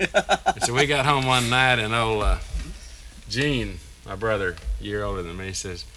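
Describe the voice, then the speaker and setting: A man with a Texas accent speaks at a medium pitch. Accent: Texas drawl. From East Texas (Tyler). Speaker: fiddle player. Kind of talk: interview reminiscence.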